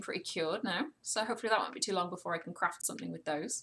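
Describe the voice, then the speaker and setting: There is vocal fry in this woman's voice. Her tone is relaxed. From Wales. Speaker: gaming streamer. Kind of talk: live game stream commentary with chat. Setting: live stream. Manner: relaxed, casual.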